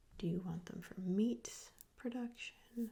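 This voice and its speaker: A whispering, soft-spoken voice drifts along at a very slow pace. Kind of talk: ASMR role play. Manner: soft-spoken, whispered. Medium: role play.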